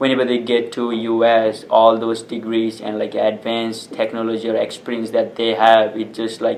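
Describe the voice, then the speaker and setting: A man's flat, monotone delivery with hardly any pauses, against noticeable background noise. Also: medium pitch for a man, moderate pace. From refugee camp, Bhutanese community (Nepal). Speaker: nonprofit founder. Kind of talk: interview answers.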